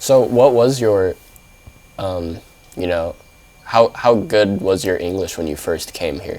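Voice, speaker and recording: A man with a General American accent speaks at a fairly slow pace, with long, frequent pauses and a fairly low pitch. His pitch varies in an ordinary way, and noticeable background noise runs underneath. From San Diego, California. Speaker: student reporter. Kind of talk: interview.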